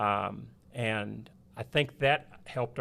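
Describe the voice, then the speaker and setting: A man with a West Texas accent speaks at a medium pitch with fairly even intonation, recorded very cleanly against a silent background. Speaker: preacher. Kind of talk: casual chat.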